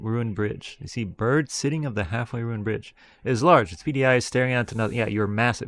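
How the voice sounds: Simply a natural reading voice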